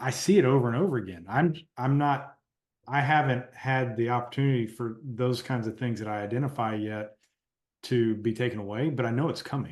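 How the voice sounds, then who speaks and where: A man with a plain, everyday voice talks at a fairly quick pace. His pitch is medium, with ordinary pitch variation. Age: 40s. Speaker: podcast host. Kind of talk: podcast interview.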